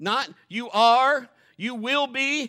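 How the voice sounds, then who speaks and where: A man speaks in a raised, projected voice with a bright, sharp tone. His pitch varies in an ordinary way, and the recording is very clean with a silent background. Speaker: pastor. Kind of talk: sermon; preacher in full flow, urgent and fervent. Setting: church. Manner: animated, exhorting the congregation; folksy, joking, conversational.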